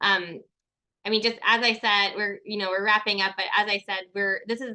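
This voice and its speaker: A woman speaks at a medium pitch in a bright, sharp tone with monotone, flat intonation against a quiet background. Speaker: ecologist giving a research talk. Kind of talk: virtual talk with audience Q&A. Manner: fast.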